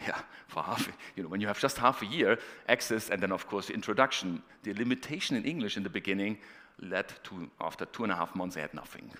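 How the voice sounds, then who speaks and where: With a German accent and a bright, sharp tone, the speaker races along at a very fast pace with lively intonation. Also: man, fairly low pitch for a man. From northeast Germany. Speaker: professor. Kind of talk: conference talk.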